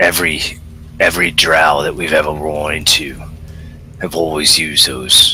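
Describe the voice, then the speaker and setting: Using a put-on character voice, a man speaks raspily at a very deep, low pitch and a moderate pace over clear background noise. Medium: actual play.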